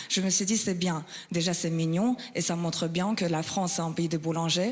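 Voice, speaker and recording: With a Russian accent, a woman speaks at a moderate pace using fairly even intonation. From Kazakhstan. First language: Russian (speaking French). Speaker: stand-up comedian. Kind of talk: stand-up.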